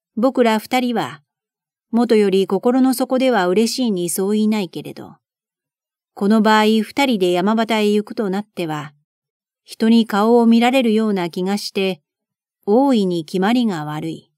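A fairly high-pitched woman with a calm, soothing, dark, mellow tone, ordinary pitch variation and a fairly slow pace, in a very clean recording with a silent background and a dry, close sound with no echo. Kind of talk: audiobook reading of a classic novel.

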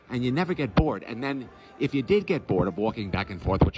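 A man talks at a fairly quick pace. The sound is dry with no echo, and music is clearly heard in the background. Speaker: travel vlogger. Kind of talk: casual vlog tour commentary. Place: hall. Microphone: phone near.

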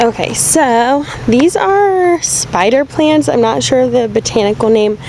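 A woman speaks at a high pitch and a fairly slow pace. Her intonation is lively, and background noise is clearly audible.

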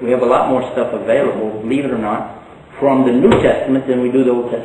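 A man with a Texan accent, with audible room echo and light background noise. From Texas. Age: 60s. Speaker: Islamic preacher. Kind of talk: lecture. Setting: stage with audience. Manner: humorous. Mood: friendly, smiling. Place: hall.

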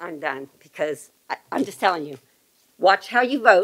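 In a quiet background, a woman speaks at a moderate pace. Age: 70s. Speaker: retired government worker, public commenter; public commenter. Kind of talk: public comment speech. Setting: public meeting. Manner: animated. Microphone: podium.

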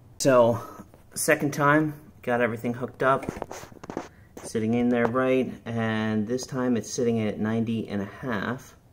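Over noticeable background noise, a man speaks at a fairly slow pace with fairly even intonation. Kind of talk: tutorial. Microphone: phone near.

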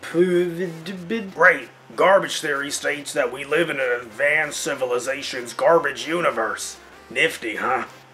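Over clear music in the background, a man does a strained, put-on character voice at a fairly high pitch and a moderate pace.

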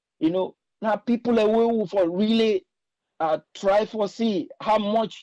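In a Sierra Leonean accent, a man with a high pitch speaks at a moderate pace, recorded dry and close with no echo against a quiet background. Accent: Sierra Leonean Krio-inflected English. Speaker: caller. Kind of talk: call-in commentary.

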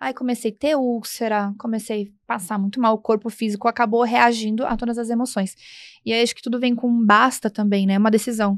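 Against a quiet background, a woman speaks fairly quickly at a fairly high pitch in a monotone, flat intonation, her loudness swinging widely in a dry sound with no echo. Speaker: co-host. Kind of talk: podcast conversation. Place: studio. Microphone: studio mic.

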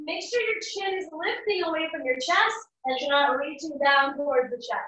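In a raised, projected voice with a bright, sharp tone, a woman speaks at a moderate pace over a quiet background, with audible room echo. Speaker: fitness instructor. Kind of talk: workout class cueing. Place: home room. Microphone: camera far.

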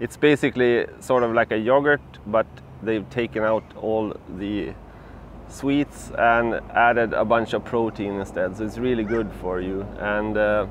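A man at a fairly slow pace with ordinary pitch variation, dry with no echo, light background noise behind him. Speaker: bikepacking travel vlogger. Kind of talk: casual vlog chat. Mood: relaxed, cheerful. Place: garden. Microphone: lapel.

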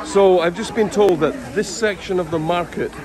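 A man at a moderate pace, dry sound with no echo, crowd noise in the background. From United Kingdom. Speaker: English teacher YouTuber. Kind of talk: casual travel vlog talk to camera. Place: market. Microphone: phone near.

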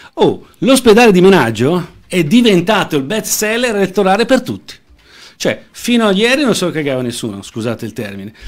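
Against a quiet background, a man talks at a fairly quick pace in a high voice. His pitch swings very widely. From Lombardy, Lecco; Lombardy. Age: 40s. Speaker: political candidate; candidate. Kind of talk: interview. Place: studio. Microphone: studio mic.

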